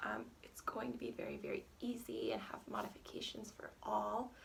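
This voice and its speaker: Moderate pace from a woman, with noticeable background noise. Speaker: yoga teacher. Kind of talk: guided yoga class. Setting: at home.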